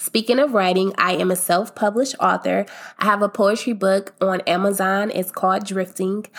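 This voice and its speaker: A woman's normal speaking voice at medium pitch and a moderate pace, with very even loudness. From US Midwest (Akron, Ohio). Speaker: podcast host. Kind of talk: casual monologue. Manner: upbeat, laughs often.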